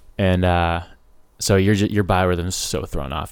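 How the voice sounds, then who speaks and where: In a very clean recording with a silent background, a man with an American accent speaks at a very deep, low pitch with vocal fry and ordinary pitch variation. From Ojai, California. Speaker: Coast Guard veteran and water conservation worker. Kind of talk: casual chat. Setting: in person in a studio. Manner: animated.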